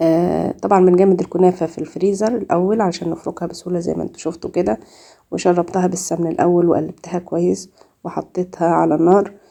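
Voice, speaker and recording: Fairly quick and monotone, the voice has a dark, mellow tone and vocal fry, with flat intonation. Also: woman, fairly low pitch for a woman. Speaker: cooking YouTuber. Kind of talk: cooking tutorial. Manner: halting, many fillers.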